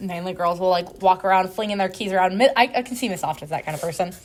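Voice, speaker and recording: At a very fast pace, a woman talks with a medium pitch and ordinary pitch variation. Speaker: podcast co-host. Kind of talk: casual chat. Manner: stuttering, halting; filler-heavy, many likes.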